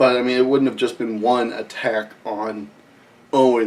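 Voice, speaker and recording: A man with a Midwestern accent speaks at a moderate pace in a monotone, flat intonation. There is noticeable background noise. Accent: Midwest US. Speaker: wrestling recap host. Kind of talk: casual commentary monologue.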